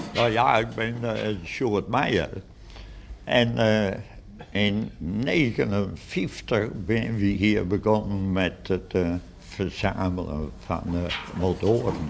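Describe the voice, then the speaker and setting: A man speaks very slowly at a fairly low pitch. Room echo is audible. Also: ordinary pitch variation. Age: 80s+. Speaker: museum founder and collector. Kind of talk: interview. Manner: hesitant, many fillers.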